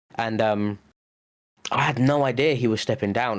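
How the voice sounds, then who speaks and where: A man's medium-pitched voice with an English accent, ordinary pitch variation and a moderate pace. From England. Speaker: podcast co-host. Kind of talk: casual chat.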